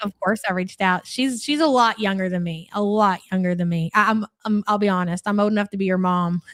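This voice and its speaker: A woman's fairly quick, medium-pitched voice with a slight Louisville accent, ordinary pitch variation, hardly any pauses, and a dry, close sound with no echo. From Kentucky, Louisville. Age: 40s. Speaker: live-stream reaction host. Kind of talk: live stream chat reading comments. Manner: casual, chatty.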